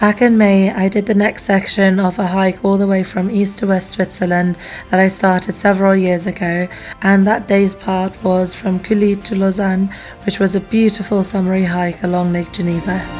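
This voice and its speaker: With music in the background, a woman speaks in a flat monotone at a medium pitch and moderate pace. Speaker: travel vlogger. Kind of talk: vlog voiceover narration.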